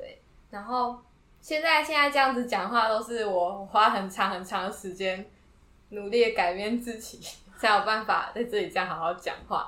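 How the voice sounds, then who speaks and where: At a moderate pace, the voice shows ordinary pitch variation and big swings in loudness, with audible room echo. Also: woman, fairly high pitch for a woman. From Taiwan, Yilan. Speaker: university student and music creator. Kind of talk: interview.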